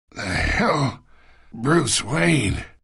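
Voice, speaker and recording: A man puts on a character voice, raspy and fairly high in pitch. His pitch swings very widely. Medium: video game. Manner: smug, wheedling.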